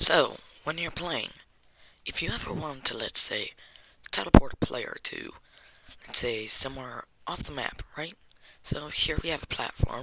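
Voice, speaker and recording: Speech comes at a moderate pace with long, frequent pauses over noticeable background noise. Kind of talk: game tutorial narration.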